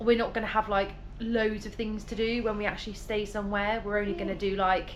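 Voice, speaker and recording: A woman talks at a very fast pace, her medium-pitched voice flat and monotone. The room adds audible echo. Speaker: travel vlogger. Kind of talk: casual vlog talk to camera.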